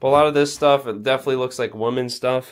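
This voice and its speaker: A man is speaking. His pace is fairly quick. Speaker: urban explorer vlogger. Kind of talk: casual vlog narration. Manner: low-energy.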